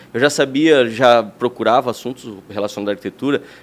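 The pace is very fast. The intonation is lively. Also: man. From Santa Catarina, Brazil (Lages). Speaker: architect. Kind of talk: interview.

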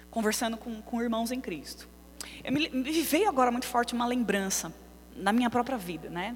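A high-pitched, animated woman's voice with lively intonation, at a moderate pace amid audible room echo. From São Paulo, Brazil. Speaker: preacher. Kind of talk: sermon. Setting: church.

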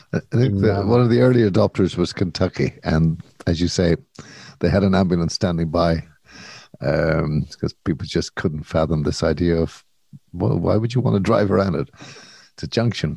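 A man with an Irish accent speaks at a moderate pace in a very deep, low voice with a dark, mellow tone and vocal fry. His intonation is lively, and the sound is dry and close with no echo. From Ireland. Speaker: podcast co-host. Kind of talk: casual chat.

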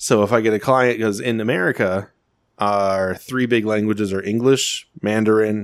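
In a normal speaking voice, a man talks at a fairly slow pace in a fairly low pitch with fairly even intonation, on a very clean recording with a silent background. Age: 20s. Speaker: podcast co-host. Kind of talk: casual chat.

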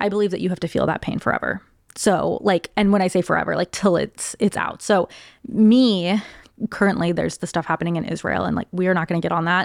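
Vocal fry marks a very fast, fairly even delivery, captured as a dry, close sound with no echo on a very clean recording with a silent background. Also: woman, fairly low pitch for a woman. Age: 20s. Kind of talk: casual chat.

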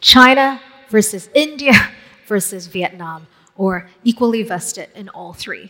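Her pitch sits fairly high and shifts in an ordinary way. This woman has an ordinary speaking voice. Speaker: moderator. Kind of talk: fireside chat. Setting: stage with audience.

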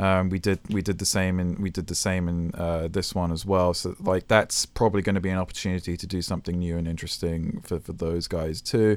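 A man's very deep, low pitch at a fairly quick pace, monotone and flat, with hardly any pauses, in a very clean recording with a silent background. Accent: British. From England. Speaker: video game and film composer. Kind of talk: interview conversation. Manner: hesitant, many fillers and restarts.

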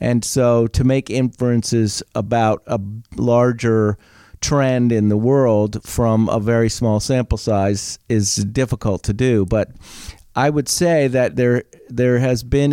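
In a very clean recording with a silent background and a dry, close sound with no echo, a man speaks at a very slow pace with medium pitch, fairly even intonation and a dark, mellow tone. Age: 60s. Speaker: retired teacher. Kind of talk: casual chat. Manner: clear and precise.

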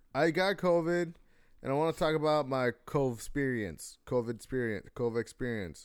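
A man with an ordinary speaking voice talks at a moderate pace and medium pitch, using lively intonation and very even loudness, in a very clean recording with a silent background. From US, child of Mexican and Salvadoran immigrants. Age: 20s. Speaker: podcast co-host. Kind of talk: casual chat.

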